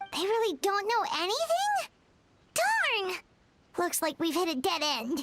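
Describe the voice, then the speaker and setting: Over music in the background, an extremely high-pitched put-on character voice speaks at a fairly slow pace with long, frequent pauses. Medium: video game. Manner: energetic, casual.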